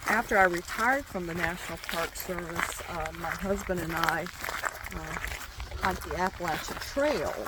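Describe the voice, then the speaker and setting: Noticeable background noise sits behind a woman with a fairly low pitch. She speaks at a moderate pace with ordinary pitch variation. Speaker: retired park ranger. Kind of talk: casual chat. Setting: outdoors. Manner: halting.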